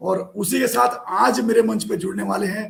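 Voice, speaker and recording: The delivery moves at a fairly slow pace with lively intonation. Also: man. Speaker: online show host. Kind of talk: live show hosting. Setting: live video call.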